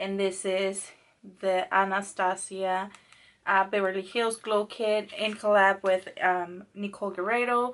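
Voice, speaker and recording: Against a quiet background, a woman with a medium pitch speaks at a fairly slow pace in a monotone, flat intonation. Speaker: beauty vlogger. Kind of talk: casual product review to camera. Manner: casual, hesitant, with filler words and cursing.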